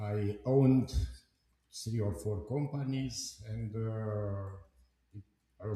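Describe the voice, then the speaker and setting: A man's somewhat breathy voice, dark and mellow in tone, fairly low in pitch, with ordinary pitch variation. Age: 70s. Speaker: company board chairman. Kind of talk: live stream discussion. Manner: halting.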